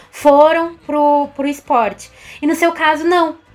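The speech moves at a fairly slow pace. Noticeable background noise sits behind it. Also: woman. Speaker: co-host, communications team member.

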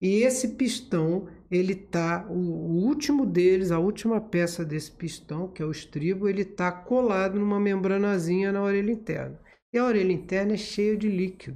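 This man has a high pitch and a dark, mellow tone, speaking at a moderate pace with ordinary pitch variation. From Rio de Janeiro city, Brazil. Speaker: ENT doctor and medical professor. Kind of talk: interview, medical explanation.

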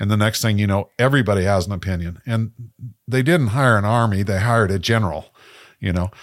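Fairly low male voice at a very fast pace with ordinary pitch variation, on a very clean recording with a silent background. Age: 70s. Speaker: photographer and podcast co-host. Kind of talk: casual chat. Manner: halting, repeats words.

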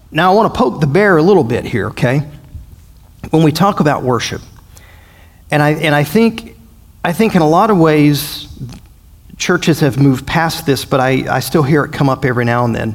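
With a Southern US accent, a man speaks at a fairly high pitch and a moderate pace, using lively intonation and long, frequent pauses. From US South. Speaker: pastor. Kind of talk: bible study. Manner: halting; animated.

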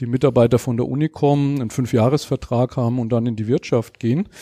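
Against a quiet background, a man talks at a moderate pace with a medium pitch, a dark, mellow tone and fairly even intonation, the sound dry and close with no echo. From Germany, Lower Franconia (Schweinfurt). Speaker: founder of a knowledge management academy. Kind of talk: interview.

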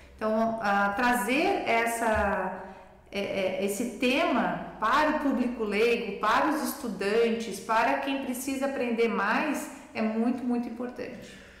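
A woman's fairly high voice at a very slow pace with ordinary pitch variation, amid audible room echo and noticeable background noise. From Brusque, Santa Catarina, southern Brazil. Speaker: cardiologist and medical professor. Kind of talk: podcast interview.

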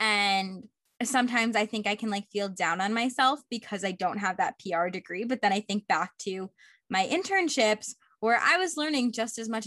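A plain, everyday voice from a woman, fairly high in pitch, at a fairly quick pace. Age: 20s. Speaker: podcast host. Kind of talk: interview; casual chat.

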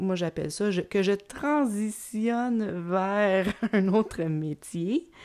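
A woman with a Quebec accent, medium pitch and lively intonation, at a very slow pace in a very clean recording with a silent background. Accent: Québécois French. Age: 40s. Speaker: podcast host and creativity coach. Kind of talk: solo podcast monologue. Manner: hesitant, many fillers and repetitions; laughs often.

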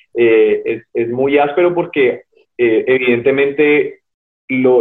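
Speaking with a Cali accent, a man uses a fairly high pitch. His pace is fairly slow. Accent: Colombian, Cali (caleño) Spanish. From Colombia, Cali. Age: 30s. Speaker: cyclist and ultra-endurance athlete. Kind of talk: interview. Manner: hesitant, many repetitions.

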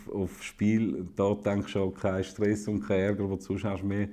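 A man with a Swiss German accent speaks at a moderate pace and a fairly low pitch. His tone is dark and mellow, the intonation monotone and flat. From Switzerland, eastern (St. Gallen, Wil). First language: Swiss German (speaking German). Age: 30s. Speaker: politician. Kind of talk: casual conversation.

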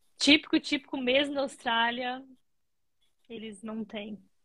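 Intonation stays fairly even throughout. The woman talking takes a fairly slow pace. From Brazil. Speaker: nurse. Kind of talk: casual interview.

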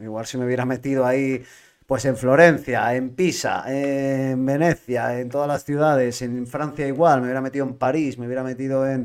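An unremarkable speaking voice goes at a fairly quick pace. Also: man. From Spain, L'Hospitalet (Barcelona). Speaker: podcast host and van-life traveller. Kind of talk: casual chat. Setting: live-streamed podcast.

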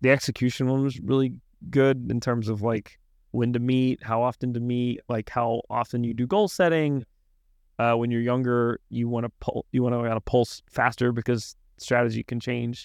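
In a quiet background, a man with an American accent talks at a moderate pace, his medium pitch carrying fairly even intonation. It is an unremarkable speaking voice, heard as a dry, close sound with no echo. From Arkansas, US South. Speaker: coffee company founder. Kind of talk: casual interview. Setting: in-person studio.

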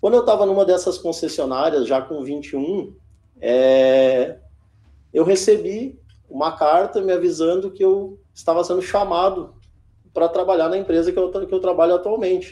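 A man's voice is high in pitch and carries a dark, mellow tone. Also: ordinary pitch variation, moderate pace. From Rio Grande do Sul, Brazil (Alvorada, Porto Alegre area). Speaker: fleet manager. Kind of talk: interview. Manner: halting, with repeated fillers.

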